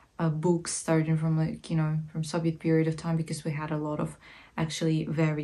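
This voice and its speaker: The voice has a dark, mellow tone and sounds somewhat breathy. It carries a Ukrainian accent. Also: woman. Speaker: art history vlogger. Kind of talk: casual educational talk. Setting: sitting at home while knitting. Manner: hesitant, many fillers.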